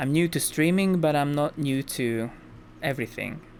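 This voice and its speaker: A man's voice with ordinary pitch variation, music playing in the background. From Hungary. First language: Hungarian. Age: 20s. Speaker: gaming streamer. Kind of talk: casual live-stream chat. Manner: chatty, filler-heavy.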